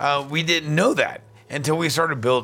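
A plain, everyday voice from a man, moderately paced and fairly high-pitched, its pitch varying in an ordinary way. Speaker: podcast host and bar owner. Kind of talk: casual chat. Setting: in person at a tiki event.

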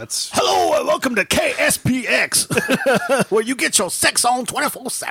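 A put-on character voice in a playful tone, with a very slow pace and very even loudness. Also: man, extremely high pitch for a man. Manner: radio DJ voice, playful.

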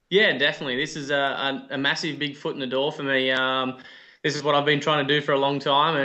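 Talking at a fairly quick pace, a man with an Australian accent uses a fairly high pitch and a monotone, flat intonation. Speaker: off-road racer. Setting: video call.

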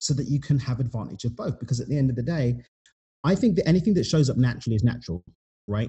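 A man speaks very fast at a medium pitch. His voice is somewhat breathy, with lively intonation. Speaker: author and podcaster. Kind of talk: casual interview chat.

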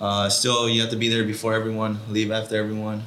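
A man with an American accent talks at a very fast pace and a fairly low pitch. Audible room echo and noticeable background noise fill the recording. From Watsonville, California. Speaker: professional footballer. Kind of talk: casual interview chat. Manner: halting, many fillers.

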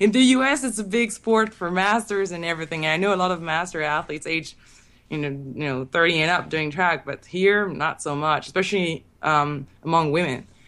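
Over a silent background in a very clean recording, a woman talks at a fairly quick pace with lively intonation. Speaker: sprinter. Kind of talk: casual interview.

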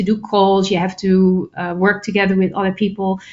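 A woman with a Dutch accent speaks at medium pitch. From Netherlands. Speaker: public speaker and author. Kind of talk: interview.

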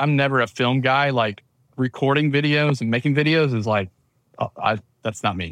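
With a Southern US accent, a man speaks at a moderate pace and medium pitch with ordinary pitch variation, in a dry, close sound with no echo. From US South, Georgia. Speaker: church video production business manager, former church tech director. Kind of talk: casual interview chat.

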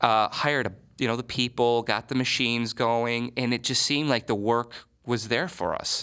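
A man at medium pitch and moderate pace, with an American accent and a bright, sharp tone, on a very clean recording with a silent background. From Michigan. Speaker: advertising agency owner. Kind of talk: interview.

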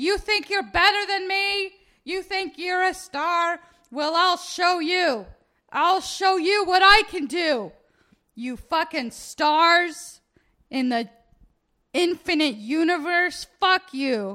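In a put-on character voice pitched extremely high, a woman shouts very slowly with lively intonation. The recording is very clean, with a silent background. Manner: yelling angrily.

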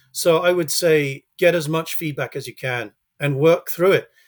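A man with a British accent speaks at a fairly high pitch, with ordinary pitch variation. The recording is very clean, with a silent background. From UK. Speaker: children's author. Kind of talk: interview. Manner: halting.

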